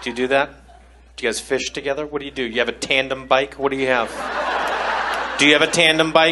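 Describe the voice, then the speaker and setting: A man talks at a very fast pace yet leaves long, frequent pauses, with noticeable background noise behind him. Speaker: stand-up comedian. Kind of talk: stand-up comedy. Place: stage. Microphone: handheld.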